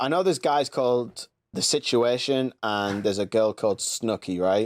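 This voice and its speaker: With a Geordie accent, a man talks in an animated tone with ordinary pitch variation, recorded very cleanly against a silent background with a dry, close sound and no echo. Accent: loose Geordie. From northeast England (Newcastle area). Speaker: podcast host. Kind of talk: casual chat.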